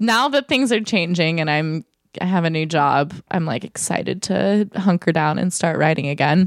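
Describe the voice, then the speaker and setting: Lively intonation comes through in a voice with a Californian accent. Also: woman, fairly low pitch for a woman, moderate pace, dry, close sound with no echo. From Southern California, Orange County. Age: 20s. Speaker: digital marketer. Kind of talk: casual chat. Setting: host's apartment.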